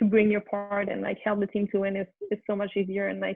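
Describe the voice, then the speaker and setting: The speech moves at a moderate pace in a flat monotone. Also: woman. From Quebec City, Canada. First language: French. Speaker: former college soccer player. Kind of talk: interview. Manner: halting, many fillers.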